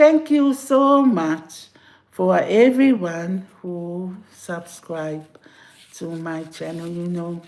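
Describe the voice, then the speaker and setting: Very slowly, a woman speaks in a fairly low pitch with very wide pitch swings and big swings in loudness. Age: 60s. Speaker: YouTuber. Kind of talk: casual livestream chat. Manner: halting, repeating words.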